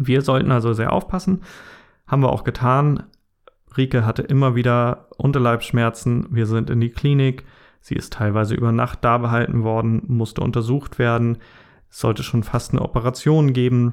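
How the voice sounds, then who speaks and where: An ordinary speaking voice goes at a moderate pace with ordinary pitch variation. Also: man, medium pitch for a man. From northern Germany. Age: 30s. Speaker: podcast host and blogger. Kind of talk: personal monologue podcast.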